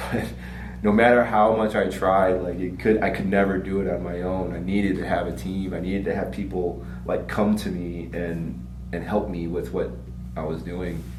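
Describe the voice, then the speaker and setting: A man with a very deep, low pitch speaks at a moderate pace with lively intonation. Music plays in the background, and the room echo is audible. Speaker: martial arts school owner. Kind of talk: casual chat. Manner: halting.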